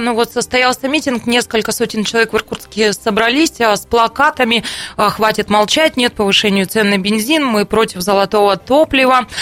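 A woman at a moderate pace, ordinary pitch variation, noticeable background noise behind her. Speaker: radio host. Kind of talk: talk radio discussion. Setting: studio.

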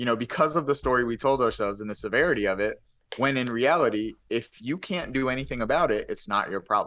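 A man with an American accent talks at a fairly quick pace in a bright, sharp tone, his medium pitch moving with ordinary variation over a quiet background. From US, poor urban neighborhood. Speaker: motivational speaker and author. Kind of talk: casual interview. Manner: occasional stutter.

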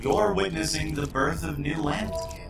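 Against clear background noise, a man does a put-on character voice. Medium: audio drama. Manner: warm, easygoing.

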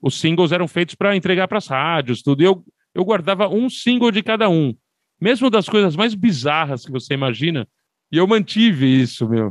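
Heard dry and close with no echo against a quiet background, a man talks at a moderate pace and a high pitch, with very wide pitch swings. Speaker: music podcaster. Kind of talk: casual chat.

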